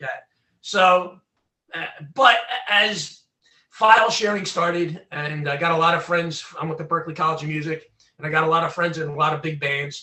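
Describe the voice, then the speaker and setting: A man with a Philadelphia accent speaks in a high pitch. He leaves long, frequent pauses. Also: ordinary pitch variation, moderate pace. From Southwest Philadelphia, US. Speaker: former recording engineer and freedom activist. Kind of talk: interview.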